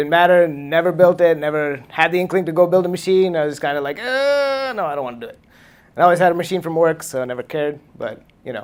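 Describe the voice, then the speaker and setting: A man talks at a very fast pace and high pitch, with lively intonation and big swings in loudness. The recording is very clean, with a silent background. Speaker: tech meetup speaker, computer engineer. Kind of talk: lightning talk presentation. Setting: meetup with live audience.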